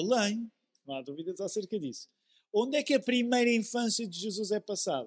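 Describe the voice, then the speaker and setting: A man talks at a fairly quick pace with a high pitch. His intonation is lively, and the sound is dry and close with no echo. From Portugal, Amadora (Lisbon area). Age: 40s. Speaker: pastor. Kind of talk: sermon.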